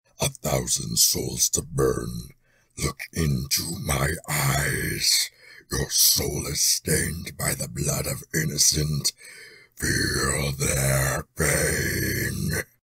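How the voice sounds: A man uses a put-on character voice that is raspy and very deep. He speaks at a very slow pace.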